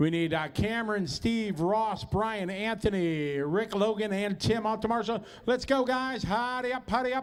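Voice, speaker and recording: A man talks loudly at a high pitch with ordinary pitch variation. His pace is moderate, with hardly any pauses. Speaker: race announcer. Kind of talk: event PA announcing.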